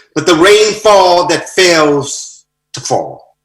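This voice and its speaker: Music plays in the background as a man with an American accent speaks amid audible room echo. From United States. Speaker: poet. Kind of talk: poetry reading; brief greeting.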